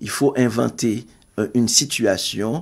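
This man's medium-pitched voice comes through on a very clean recording with a silent background. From Haiti. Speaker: writer and poet. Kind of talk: interview. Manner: halting.

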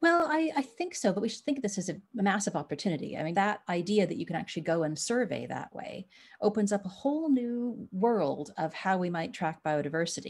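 On a very clean recording with a silent background, a woman speaks at medium pitch, somewhat breathy, at a fairly quick pace. Her pitch swings very widely and she hardly pauses. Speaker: biologist. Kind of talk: interview.

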